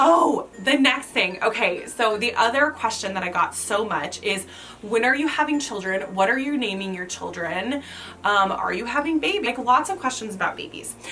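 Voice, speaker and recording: Over noticeable background noise, a woman with a fairly high pitch speaks at a moderate pace with very wide pitch swings. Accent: American. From US Midwest, rural Kansas. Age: 30s. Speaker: lifestyle vlogger. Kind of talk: casual Q&A vlog. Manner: chatty, filler-heavy.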